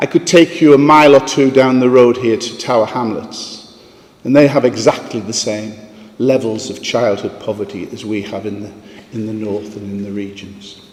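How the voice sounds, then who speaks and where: Noticeable background noise surrounds a man speaking at a medium pitch and a moderate pace. His pitch varies in an ordinary way, while his loudness swings widely. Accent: northeast English. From northeast England, Sunderland. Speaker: philanthropist. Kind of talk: conference talk.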